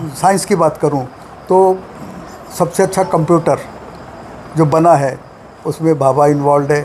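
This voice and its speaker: Long, frequent pauses from a man with a fairly high pitch, fairly even intonation, very even loudness, and noticeable background noise. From Belgaum, Karnataka-Maharashtra border. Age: 80s+. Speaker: retired scientist and health lecturer. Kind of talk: interview.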